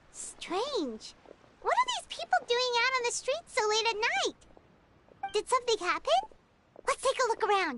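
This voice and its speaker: Extremely high pitch in a put-on character voice. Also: moderate pace. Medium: video game. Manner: upbeat, friendly.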